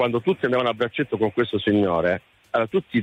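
Very fast speech from a man, ordinary in pitch variation. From Lecce, Apulia, Italy. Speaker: caller. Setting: phone call.

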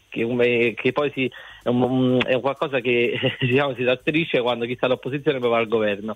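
A man at medium pitch and a moderate pace. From Salerno, southern Italy. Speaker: radio caller. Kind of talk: radio phone-in call. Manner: halting.

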